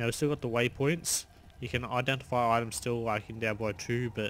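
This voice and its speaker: A man with an Australian accent, medium pitch, a bright, sharp tone and a moderate pace. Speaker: gaming YouTuber. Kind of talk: gameplay commentary. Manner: casual, animated.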